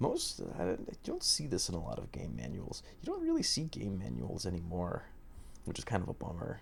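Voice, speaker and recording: A soft-spoken voice at a moderate pace. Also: man. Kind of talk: ASMR manual reading.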